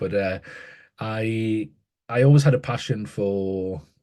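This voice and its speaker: In a northeast English accent, a man speaks with a dark, mellow tone and lively intonation. The background is quiet. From northeast England, Newcastle. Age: 30s. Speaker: educator and author. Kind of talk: interview conversation. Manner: halting, many repetitions and fillers.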